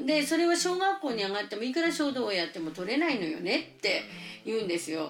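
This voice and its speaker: A high-pitched woman at a very fast pace, her pitch swinging very widely, with noticeable background noise. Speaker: preschool teacher. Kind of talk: interview.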